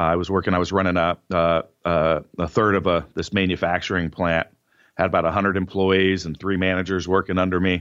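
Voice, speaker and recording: A man with an American accent and a very deep, low pitch talks at a fairly quick pace in a monotone, flat way over a quiet background. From Northern California. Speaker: powerlifter and entrepreneur. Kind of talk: interview.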